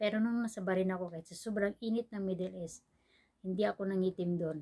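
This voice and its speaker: This woman is soft-spoken, with a medium pitch and a dark, mellow tone. She keeps a moderate pace and fairly even intonation. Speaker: vlogger. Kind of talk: casual vlog chat. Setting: indoors at home, dim room. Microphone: no external mic, quiet recording.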